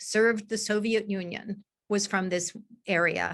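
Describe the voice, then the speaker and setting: With a normal speaking voice, a woman talks at a medium pitch with ordinary pitch variation against a quiet background. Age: 60s. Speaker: peace activist, nonprofit founder. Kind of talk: conference speech.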